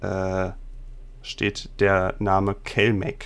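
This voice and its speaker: Here a man speaks in a monotone with flat intonation. His pitch sits fairly low. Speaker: game master and podcast host. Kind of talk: tabletop roleplay narration. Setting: online recording.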